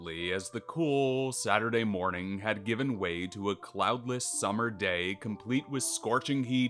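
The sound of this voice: With ordinary pitch variation, the voice is an unforced reading voice.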